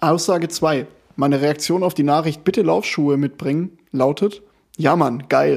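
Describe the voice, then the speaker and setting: The voice carries vocal fry, with ordinary pitch variation. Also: man, fairly high pitch for a man, moderate pace. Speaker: amateur football podcast host and club coach. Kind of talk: casual chat. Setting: recording at co-host's home.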